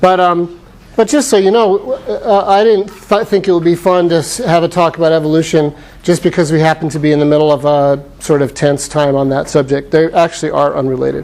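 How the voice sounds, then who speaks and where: Loud and at a fairly quick pace, a man speaks with an American accent. His voice is high with ordinary pitch variation. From Arizona (Phoenix). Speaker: professor. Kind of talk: lecture.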